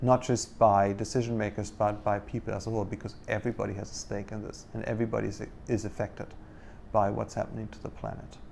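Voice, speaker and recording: With vocal fry and big swings in loudness, a man talks very fast in a fairly low pitch with monotone, flat intonation. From Germany. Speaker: marine biology professor. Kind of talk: interview. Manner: halting, many fillers.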